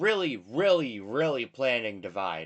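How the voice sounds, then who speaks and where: The man's voice is fairly high in pitch with a bright, sharp tone. It moves in very wide pitch swings. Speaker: low-budget musician. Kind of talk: casual chat. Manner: halting with frequent repetitions; unedited rambling.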